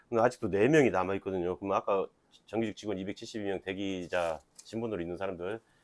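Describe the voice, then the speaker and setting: A man talks at a very fast pace with fairly low pitch and fairly even intonation. The sound is dry and close with no echo, in a very clean recording with a silent background. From Jeolla, Korea (Jeonju). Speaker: union talk show host. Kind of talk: casual interview.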